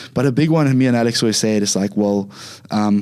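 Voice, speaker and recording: In a Zimbabwean accent, a man with a fairly low voice speaks at a very fast pace with ordinary pitch variation. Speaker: Muay Thai and MMA fighter. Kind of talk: casual interview.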